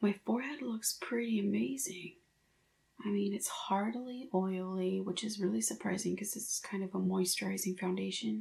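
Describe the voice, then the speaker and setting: Noticeable background noise runs beneath a woman speaking at a moderate pace. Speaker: beauty vlogger. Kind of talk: makeup review vlog. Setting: home, filming at night. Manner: casual, hesitant.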